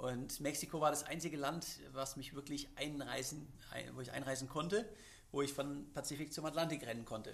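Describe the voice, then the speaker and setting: In a room with audible echo, a man with a fairly high voice speaks fairly quickly and with fairly even intonation. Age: 30s. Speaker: extreme athlete. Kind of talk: interview. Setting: studio. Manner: many filler sounds.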